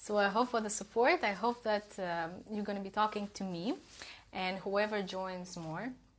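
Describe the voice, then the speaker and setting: Speaking at a moderate pace, a woman with a Russian accent uses a medium pitch. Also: ordinary pitch variation. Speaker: self-development coach. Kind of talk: live stream talk. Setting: Instagram live stream.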